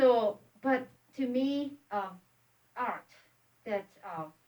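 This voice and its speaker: A woman with a Japanese accent speaks very slowly in a fairly high pitch, with ordinary pitch variation. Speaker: pastor. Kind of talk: casual chat. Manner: halting.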